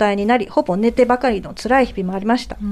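A woman uses an ordinary speaking voice, fairly high in pitch, at a fairly quick pace, with ordinary pitch variation. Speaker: radio panelist. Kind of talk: radio talk show, reading listener mail aloud. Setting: radio studio, late-night live broadcast.

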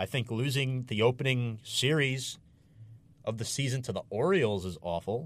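In a very clean recording with a silent background, a man with an unremarkable speaking voice talks at a moderate pace, medium in pitch, with ordinary pitch variation. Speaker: radio host. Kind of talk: live sports talk show. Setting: studio.

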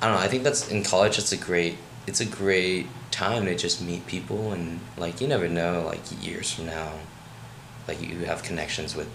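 A man with an American accent speaks at a moderate pace in a very deep, low pitch with ordinary pitch variation. Audible room echo and noticeable background noise surround him. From Maryland, US. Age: 20s. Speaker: college student. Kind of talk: casual chat.

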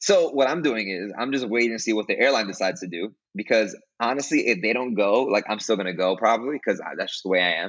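Speaking very fast in a New York accent, a man keeps his intonation lively. His pitch sits in the medium range. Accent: New York City. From Brooklyn, New York. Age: 20s. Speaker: music teacher and podcast host. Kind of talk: casual interview.

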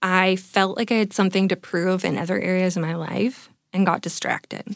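A woman with a Californian accent speaks at a medium pitch and moderate pace. Her intonation is monotone and flat, on a very clean recording with a silent background. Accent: Californian American. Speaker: confidence and mindset coach. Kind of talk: coaching conversation. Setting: studio.

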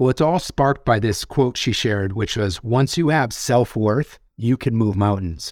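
Hardly pausing, a man with an unremarkable speaking voice talks at a moderate pace and medium pitch, with ordinary pitch variation and very even loudness, in a very clean recording with a silent background. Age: 50s. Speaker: author and executive coach. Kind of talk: interview.

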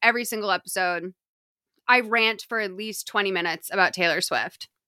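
Someone with an American accent speaks in a bright, sharp tone with ordinary pitch variation on a dry, close recording with no echo, very clean with a silent background. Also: woman. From US Northeast, Lexington, Massachusetts. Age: 30s. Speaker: podcast host and comedy writer. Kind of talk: casual chat.

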